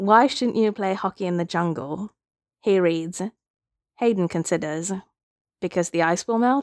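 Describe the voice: Over a quiet background, this is plain reading aloud with ordinary pitch variation.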